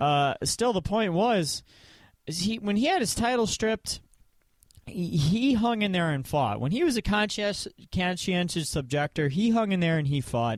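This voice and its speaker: On a very clean recording with a silent background, a man with a Michigan accent talks at a moderate pace in a high pitch with very wide pitch swings. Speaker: podcast host. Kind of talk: casual chat. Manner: halting, many fillers.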